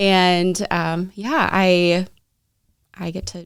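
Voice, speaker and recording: A woman at medium pitch talks with a slight Minnesota accent. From Minnesota, US. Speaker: direct sales partner for a fair trade company. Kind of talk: interview.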